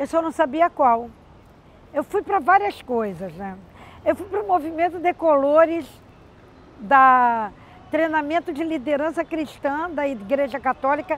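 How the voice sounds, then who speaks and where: A woman with a high pitch and lively intonation speaks at a fairly slow pace, leaving long, frequent pauses. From Rio de Janeiro, Brazil. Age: 60s. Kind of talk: testimony.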